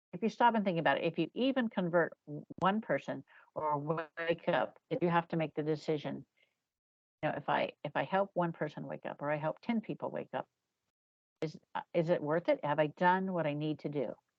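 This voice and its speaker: With an ordinary speaking voice, a woman talks at a fairly quick pace in a fairly low pitch, her intonation lively. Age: 60s. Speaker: psychic medium and author. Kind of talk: interview conversation.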